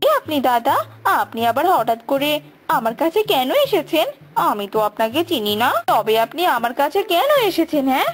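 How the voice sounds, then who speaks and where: A woman does a cartoonish character voice, high-pitched with lively intonation. She keeps a moderate pace and very even loudness. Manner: nosy, calculating.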